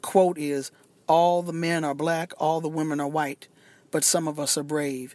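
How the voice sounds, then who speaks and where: A woman with a very deep, low voice is heard on a very clean recording with a silent background. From US. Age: old. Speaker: journalist and author. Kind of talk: interview.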